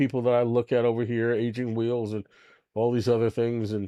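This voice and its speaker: With an American accent, a man talks at medium pitch and a moderate pace in a dark, mellow tone. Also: dry, close sound with no echo, very clean recording, silent background. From New York. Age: 60s. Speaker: livestream host. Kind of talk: casual live stream chat. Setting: home studio. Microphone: new microphone.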